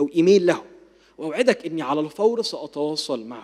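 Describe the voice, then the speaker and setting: The man's voice is fairly high in pitch, with a dark, mellow tone. He moves at a moderate pace with lively intonation. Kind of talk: lecture.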